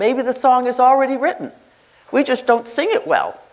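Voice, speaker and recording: A woman with an American accent talks at a moderate pace in a high-pitched voice. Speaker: nurse leader. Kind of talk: conference keynote speech. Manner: animated.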